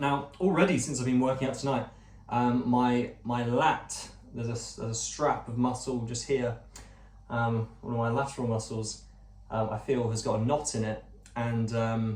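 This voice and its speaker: Noticeable background noise and audible room echo surround a man speaking at a medium pitch with fairly even intonation. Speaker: vlogger, former actor. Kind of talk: casual vlog monologue. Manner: fast; stumbling over words.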